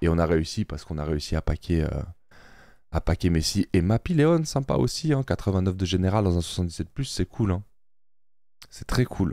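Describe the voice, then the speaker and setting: A man's dark, mellow voice with ordinary pitch variation, dry and echo-free over a quiet background. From Switzerland (French-speaking, Neuchâtel); Switzerland. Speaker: gaming YouTuber. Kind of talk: casual gameplay commentary. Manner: animated, excited exclamations. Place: home room. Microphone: studio mic.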